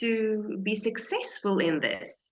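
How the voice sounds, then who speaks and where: Fairly high in pitch, a woman speaks with a non-native accent. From South Africa. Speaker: small business owner. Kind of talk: interview. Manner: halting.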